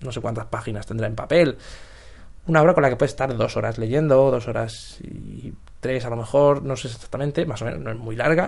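A man talks at a fairly quick clip, his loudness rising and falling sharply. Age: 20s. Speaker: podcaster. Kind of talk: casual monologue. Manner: halting.

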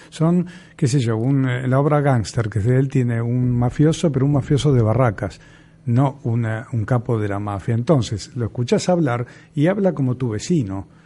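Speaking at a moderate pace, the man has a medium pitch, ordinary pitch variation and a dark, mellow tone. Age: 60s. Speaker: theatre teacher and radio co-host. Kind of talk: casual chat. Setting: studio.

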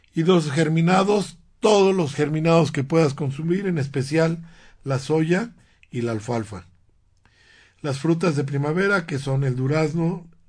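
A somewhat breathy man talks at a fairly slow pace with a fairly high pitch. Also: ordinary pitch variation. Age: 60s. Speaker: radio host and alternative medicine doctor. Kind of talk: health talk radio show. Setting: radio studio. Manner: halting, frequent repetitions.

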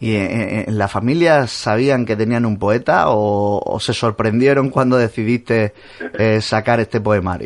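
A man talks at a fairly slow pace in a medium pitch, his intonation fairly even, with a plain, everyday voice. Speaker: radio host. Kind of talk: radio interview. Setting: radio studio.

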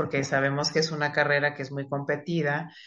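A woman speaks at a moderate pace. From Mexico City. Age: 40s. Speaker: psychiatrist. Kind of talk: interview.

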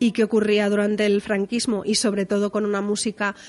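This is a woman speaking at medium pitch. Her intonation is monotone and flat. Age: 30s. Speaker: music journalist. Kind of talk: casual chat.

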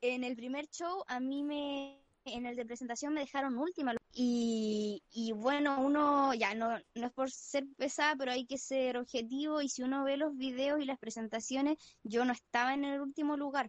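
Her pitch is high, and the woman keeps a fairly even intonation at a moderate pace. The sound is dry and close, with no echo. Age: 18. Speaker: former beauty pageant contestant. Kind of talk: casual chat. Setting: remote call from home.

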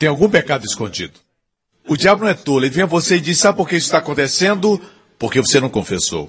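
A man speaks very fast at a fairly high pitch, his tone animated and his intonation lively. Vocal fry comes through in his voice. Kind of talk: sermon. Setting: church with congregation. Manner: emphatic, animated preaching; call-and-response, pausing for amens.

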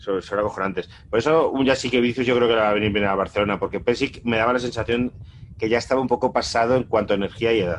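This man's voice sits at a medium pitch with fairly even intonation. He talks at a very fast pace. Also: very even loudness. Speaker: podcast co-host. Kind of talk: casual chat.

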